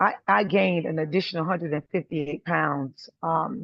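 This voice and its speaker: A woman with a fairly low pitch speaks in a lively intonation, her voice showing vocal fry. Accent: American. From US South, South Carolina. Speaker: testimonial speaker. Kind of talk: testimony. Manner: soft-spoken, talking low.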